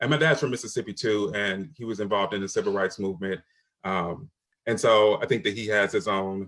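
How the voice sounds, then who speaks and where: Speaking in a normal speaking voice with an American accent, a man talks at a fairly quick pace and a fairly low pitch in a very clean recording with a silent background. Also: ordinary pitch variation. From Michigan. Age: 40s. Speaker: panelist. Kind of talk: panel discussion.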